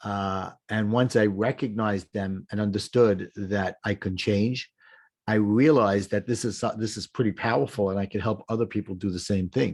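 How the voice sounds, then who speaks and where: A man speaks at a fairly low pitch against a quiet background. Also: fairly even intonation, moderate pace. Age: 60s. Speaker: life coach. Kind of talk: casual chat. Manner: halting.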